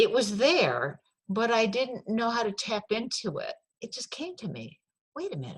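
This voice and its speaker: A woman with an American accent at a moderate pace, with big swings in loudness. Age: 60s. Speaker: author and former forest firefighter. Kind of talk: interview.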